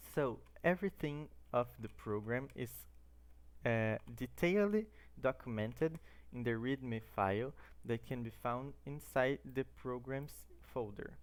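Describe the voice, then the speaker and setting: At a fairly slow pace, a man with a Brazilian Portuguese accent talks with long, frequent pauses. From Brazil, Santo André, São Paulo. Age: 20s. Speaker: student. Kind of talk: tutorial.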